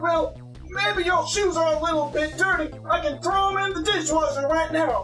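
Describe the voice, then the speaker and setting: A put-on character voice moves at a moderate pace with hardly any pauses. Clear music plays in the background. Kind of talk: improvised children's book reading.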